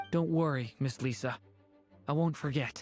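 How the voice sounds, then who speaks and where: Over faint background music, a man does a put-on character voice at a fairly high pitch. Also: moderate pace. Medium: video game. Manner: polite, earnest.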